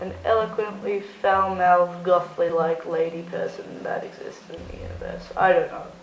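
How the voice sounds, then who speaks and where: Music plays in the background of this room-echoing clip as a woman talks at a moderate pace with hardly any pauses and big swings in loudness. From Australia (Melbourne). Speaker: goth youtuber. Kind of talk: casual Q&A vlog. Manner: casual, filler-heavy.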